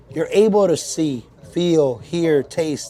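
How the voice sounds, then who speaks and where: A loud man's voice, high-pitched, with noticeable background noise. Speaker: motivational coach. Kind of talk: podcast interview. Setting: supplement store. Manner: animated.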